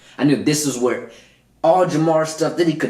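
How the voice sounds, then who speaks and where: A man's fairly high, animated voice at a fairly quick pace, with audible room echo. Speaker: motivational podcast host. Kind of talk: solo podcast monologue.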